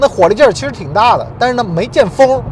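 Noticeable background noise accompanies a man speaking in an animated tone with lively intonation. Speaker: podcast host. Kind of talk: monologue podcast talk. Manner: animated, conversational.

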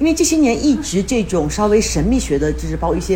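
A woman is talking against noticeable background noise. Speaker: podcast host. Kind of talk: casual interview chat.

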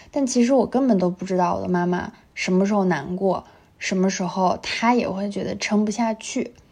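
With a normal speaking voice, a woman talks at a moderate pace in a medium pitch with ordinary pitch variation. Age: 20s. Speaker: podcast co-host. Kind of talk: casual chat.

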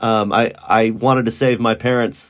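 In a quiet background, a man with an American accent speaks at medium pitch with ordinary pitch variation in an unremarkable speaking voice. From Texas, Dallas. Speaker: university English teacher. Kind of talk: interview.

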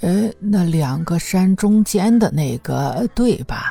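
Slow and lively in intonation, a woman's put-on character voice sits at a fairly low pitch with a dark, mellow tone, a slightly husky edge and vocal fry, over faint music in the background.

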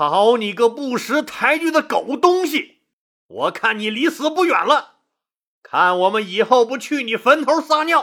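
Doing a put-on character voice, a man speaks at a fairly slow pace in an extremely high pitch with big pitch swings and a bright, sharp tone, on a very clean recording with a silent background.

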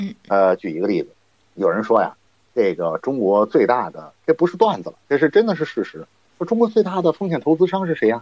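A man speaks at a fairly quick pace, his voice dry and close with no echo. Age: 40s. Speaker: internet and finance commentator. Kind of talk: podcast interview.

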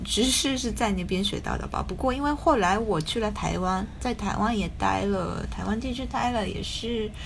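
A woman speaks at a fairly slow pace with hardly any pauses, in a slight Taiwanese accent. Noticeable background noise and audible room echo are present. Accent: slight Taiwanese-tinged Mandarin. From Japan. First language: Japanese (speaking Chinese). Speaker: writer. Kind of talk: casual chat. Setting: video call. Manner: hesitant, many fillers.

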